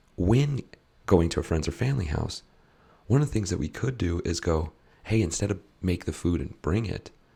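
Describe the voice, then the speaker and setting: A man's very deep, low, somewhat breathy voice with a dark, mellow tone, fairly quick pace and long, frequent pauses. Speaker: podcast host / health coach. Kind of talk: casual podcast chat. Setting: live stream on social media. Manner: halting, repeats words.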